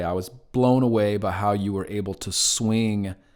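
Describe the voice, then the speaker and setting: A man with a Southern US accent speaks at a fairly low pitch with ordinary pitch variation, on a very clean recording with a silent background. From North Carolina, Gastonia. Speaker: podcast host. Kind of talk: interview.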